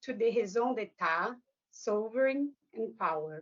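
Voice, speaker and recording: A woman speaks with a Brazilian Portuguese accent. Her pitch is fairly high. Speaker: academic author. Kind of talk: lecture. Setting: book launch event with audience. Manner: formal.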